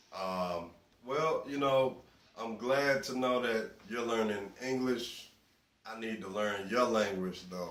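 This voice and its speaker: In a Southern US accent, a man talks at a very slow pace and a medium pitch with ordinary pitch variation. Audible room echo surrounds his voice. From US South. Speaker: interviewee. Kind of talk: interview answers.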